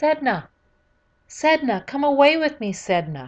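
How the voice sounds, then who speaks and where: This is a put-on character voice. It moves at a fairly slow pace. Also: woman. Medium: solo performance.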